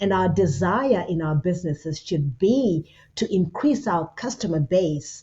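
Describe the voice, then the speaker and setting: A woman speaks in a Zimbabwean accent with a fairly low pitch. Her pace is fairly slow. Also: lively intonation. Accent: Zimbabwean accent, noticeable. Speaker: business consultant with a doctorate. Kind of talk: interview.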